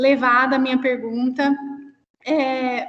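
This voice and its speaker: Very slowly and in a high pitch, a woman with a São Paulo interior accent speaks with monotone, flat intonation. Audible room echo surrounds her voice. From interior of São Paulo state, Brazil. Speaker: cultural producer. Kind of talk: question in an online discussion.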